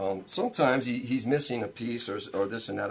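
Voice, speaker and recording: A man talks very fast in a fairly low pitch with an American accent. Music plays in the background. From Rhode Island, US Northeast. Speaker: local musician. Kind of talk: casual interview chat. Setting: studio. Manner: halting, many fillers.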